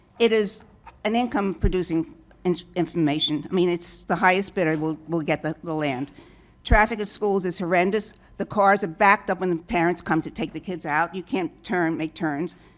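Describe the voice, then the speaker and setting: A woman's fairly low voice in a New York accent, at a moderate pace with ordinary pitch variation, in a very clean recording with a silent background. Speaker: public commenter at hearing. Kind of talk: public comment.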